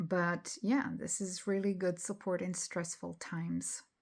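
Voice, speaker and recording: At a very slow pace, a woman with a non-native accent speaks at medium pitch with fairly even intonation on a very clean recording with a silent background. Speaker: spiritual channel host. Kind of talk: casual talk to camera. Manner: hesitant, many fillers.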